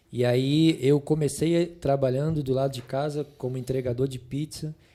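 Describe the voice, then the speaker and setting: His pitch sits fairly high for a man. The intonation is monotone and flat. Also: moderate pace. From Rio de Janeiro, Brazil. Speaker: pastor and biologist. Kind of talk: podcast interview answer.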